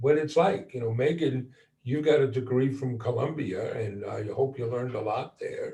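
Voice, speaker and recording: At a moderate pace, a man speaks with a fairly high pitch. His tone is dark and mellow, and somewhat breathy. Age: 60s. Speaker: entrepreneur. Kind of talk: panel discussion.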